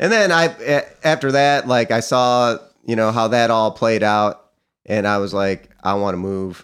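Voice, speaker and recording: Talking in a plain, everyday voice, a man with an American accent has fairly low pitch. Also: very clean recording, silent background. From upstate New York (Cortland County). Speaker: musician and artist. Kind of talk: interview.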